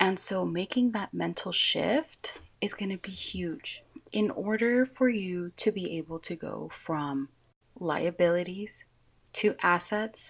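At a very slow pace, a woman speaks at a medium pitch with ordinary pitch variation and big swings in loudness. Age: 20s. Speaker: podcast host. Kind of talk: casual monologue.

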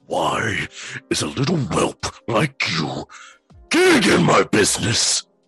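Putting on a raspy character voice, a man speaks at a fairly slow pace with faint music in the background. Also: medium pitch for a man. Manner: snarling, hostile.

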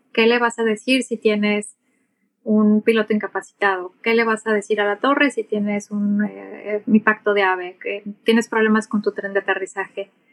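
Speaking at a moderate pace with a Mexican accent, a woman keeps a fairly high pitch and monotone, flat intonation, the sound dry and close with no echo. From Mexico. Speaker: airline captain and aviation English instructor. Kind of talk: interview.

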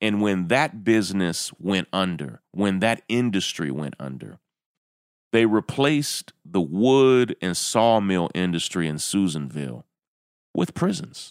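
Fairly low in pitch, a man with a Southern US accent speaks at a fairly slow pace with very wide pitch swings, on a very clean recording with a silent background and a dry, close sound with no echo. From rural Kentucky. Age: 40s. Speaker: podcast host. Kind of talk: commentary monologue.

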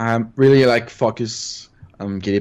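A man is speaking. He has a Quebec accent. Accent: Québécois French. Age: 30s. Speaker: retro gaming hobbyist. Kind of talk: interview. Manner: halting.

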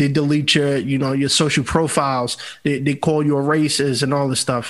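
With a New York accent, a man talks at a fairly quick pace. His pitch is fairly high. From New York City (Bronx). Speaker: podcast host and entertainer. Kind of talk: casual chat.

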